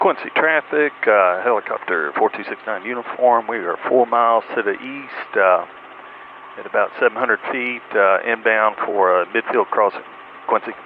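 Ordinary pitch variation at a moderate pace, with light background noise and a dry sound with no echo. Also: man. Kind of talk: radio position call. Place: plane. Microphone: headset.

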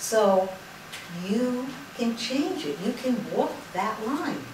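A woman's voice carries audible room echo along with noticeable background noise. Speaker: lecturer on spirituality. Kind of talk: lecture. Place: hall. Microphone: camera far.

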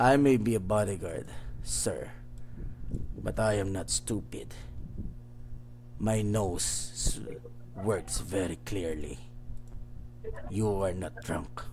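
Using a put-on character voice, a man speaks very slowly at a fairly low pitch, with long, frequent pauses. Background noise is clearly heard. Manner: stern, calm, threatening.

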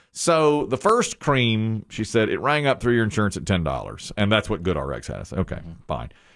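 Against a quiet background, a man with a fairly low pitch speaks at a moderate pace, his pitch swinging very widely. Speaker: radio show co-host. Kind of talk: casual radio show banter, telling a story. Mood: jokey, amused. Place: studio. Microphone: studio mic.

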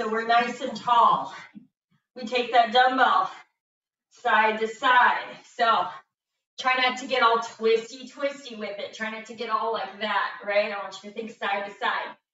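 A woman talks at a fairly slow pace in a high voice. Audible room echo surrounds her speech. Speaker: fitness instructor. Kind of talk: workout class instructions. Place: gym. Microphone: camera far.

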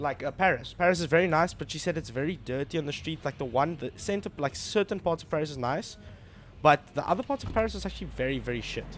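This man talks at a very fast pace, with vocal fry. Light background noise sits behind him. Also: ordinary pitch variation. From Namibia. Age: 20s. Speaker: gaming streamer. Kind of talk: casual live-stream talk while gaming. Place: home room. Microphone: studio mic.

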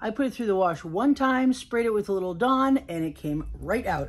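Pitch leaping very widely in a woman's somewhat breathy voice. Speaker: reseller haul vlogger. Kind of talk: casual vlog chat. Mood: upbeat, excited. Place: home room. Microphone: phone near.

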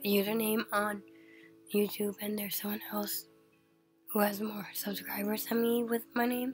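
A woman's voice over music in the background. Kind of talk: casual announcement to viewers.

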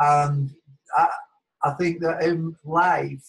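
A man with a Lancashire accent against a quiet background. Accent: northern English (Lancashire). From Wigan, northern England; northern England. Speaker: academic, former language teacher; former language teacher. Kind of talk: personal story in webinar. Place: home room. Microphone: webcam.

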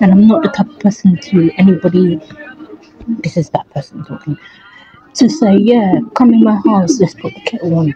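At a moderate pace, a woman with a medium pitch speaks with very wide pitch swings in a dry sound with no echo, over light background noise. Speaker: vlogger. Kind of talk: casual vlog talk to camera. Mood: reflective, tired. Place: home room. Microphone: phone near.

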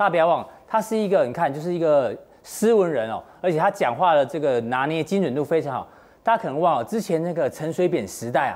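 Quick-paced and high-pitched, a man talks with lively intonation at a fairly quick pace. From Taiwan. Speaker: TV finance show host. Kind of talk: studio panel discussion. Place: studio. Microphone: lapel.

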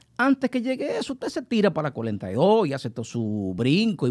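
Over a quiet background, a man talks at a moderate pace with very wide pitch swings. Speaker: guest commentator. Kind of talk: casual panel discussion. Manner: jokey, animated. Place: studio. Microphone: studio mic.

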